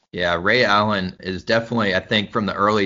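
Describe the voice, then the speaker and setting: An American-accented man with fairly low pitch and fairly even intonation speaks in an ordinary speaking voice. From US Midwest (Missouri and Kansas). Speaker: sports podcast host. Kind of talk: casual chat.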